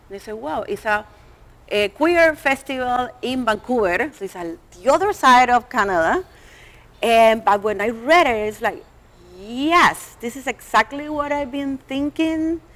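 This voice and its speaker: A woman's high voice in a strong Latin American accent, fairly slow, with very wide pitch swings and big swings in loudness. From Colombia and Venezuela. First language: Spanish. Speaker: artist. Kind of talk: panel discussion. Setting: stage with live audience. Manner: halting.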